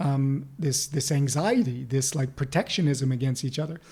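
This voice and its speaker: With a somewhat breathy, dark and mellow tone, a man talks using ordinary pitch variation. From United States. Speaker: life coach and author. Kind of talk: podcast interview.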